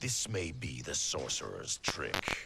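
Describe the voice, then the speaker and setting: A man's put-on character voice, very deep and low in pitch, at a fairly slow pace over loud background noise. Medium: video game. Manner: suspicious, confrontational.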